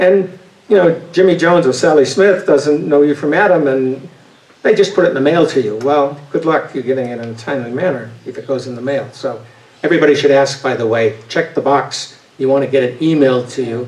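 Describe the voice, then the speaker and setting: A man's fairly high voice with a slight Boston accent, fairly quick, ordinary pitch variation, noticeable background noise. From New England, Boston area. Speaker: voting advocate, retired engineer. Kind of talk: talk with audience Q&A. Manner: hesitant, many fillers and restarts.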